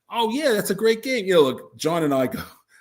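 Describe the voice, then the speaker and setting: A man's very fast speech with lively intonation. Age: 70s. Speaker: board game designer. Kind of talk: casual chat. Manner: halting.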